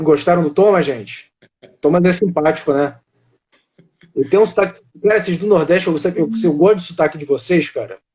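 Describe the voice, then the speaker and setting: Speaking with a Carioca accent, a high-voiced man moves at a fairly quick pace yet leaves long, frequent pauses. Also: ordinary pitch variation. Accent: carioca Brazilian Portuguese. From Rio de Janeiro, Brazil. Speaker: live stream host of a monarchist channel. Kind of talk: casual live stream chat.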